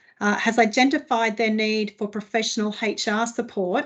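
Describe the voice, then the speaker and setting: A woman's fairly high voice with an Australian accent at a fairly quick pace, against a quiet background. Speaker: HR consultant. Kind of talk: webinar presentation. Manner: fast.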